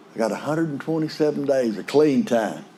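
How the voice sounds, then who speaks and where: A man with a West Texas accent talks with ordinary pitch variation over noticeable background noise. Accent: West Texas drawl. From West Texas / eastern New Mexico. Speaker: AA speaker. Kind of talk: recovery talk testimony. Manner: folksy, conversational.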